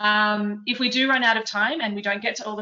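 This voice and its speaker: A woman with an Australian accent speaks at a moderate pace. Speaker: archives program manager. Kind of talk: webinar panel discussion. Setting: video call. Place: home room. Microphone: video call.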